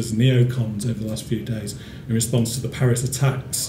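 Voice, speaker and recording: Over light background noise and audible room echo, a man talks at a fairly quick pace in a monotone, flat intonation. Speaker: speaker. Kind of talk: talk to a small audience. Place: hall. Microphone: podium.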